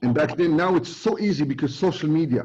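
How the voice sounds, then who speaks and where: A man with a Moroccan accent speaks with ordinary pitch variation. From Morocco, Casablanca. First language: Moroccan Arabic. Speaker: recruiting expert presenter. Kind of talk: webinar talk. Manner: halting, many fillers; code-switching to Arabic.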